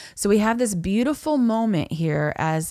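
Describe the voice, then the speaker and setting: A woman speaks very slowly with a Southern US accent. The recording is very clean, with a silent background. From US South, Florida Panhandle (Niceville). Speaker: worship leader and country singer-songwriter. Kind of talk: casual interview chat.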